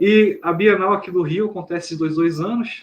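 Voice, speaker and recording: Pitched high, a man's voice is heard. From Brazil, Rio de Janeiro. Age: 30s. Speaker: author and journalist. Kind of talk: interview conversation.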